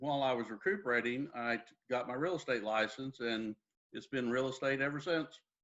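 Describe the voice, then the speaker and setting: A man with a Texan accent, medium pitch and a fairly quick pace. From Texas, Dallas. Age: 60s. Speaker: real estate agent. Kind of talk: interview.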